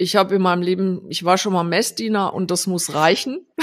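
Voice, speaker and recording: A woman speaks in a normal speaking voice. Her pitch is medium and her intonation fairly even. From Rhineland-Palatinate, Germany (Landau). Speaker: designer and agency founder. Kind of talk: casual interview. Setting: remote call.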